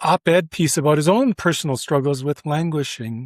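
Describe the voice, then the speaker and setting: A normal speaking voice with ordinary pitch variation, heard in a dry, close sound with no echo. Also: man. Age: 60s. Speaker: retired sociology professor. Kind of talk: interview.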